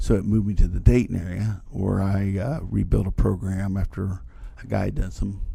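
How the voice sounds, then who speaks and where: With an Appalachian accent, a man speaks at a fairly low pitch that varies in an ordinary way. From West Virginia, Logan. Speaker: band director. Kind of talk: podcast interview.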